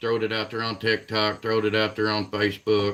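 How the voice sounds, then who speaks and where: A man with a southern Indiana accent at a fairly quick pace. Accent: regional southern Indiana. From Southern Indiana, near Kentucky border. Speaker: catfishing livestreamer. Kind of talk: casual livestream chat. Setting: live stream. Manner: halting, repeats words.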